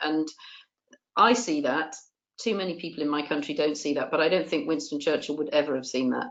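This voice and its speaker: A woman with a southern English accent and a very deep, low pitch talks fairly quickly with ordinary pitch variation. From England, Bath. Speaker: politician. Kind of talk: webinar discussion.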